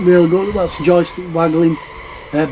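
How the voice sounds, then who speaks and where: The speaker has a northern English accent. Noticeable background noise sits behind the voice. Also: man. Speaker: retro gaming YouTuber. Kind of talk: casual show-and-tell video. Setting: public venue, noisy. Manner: hesitant, many fillers.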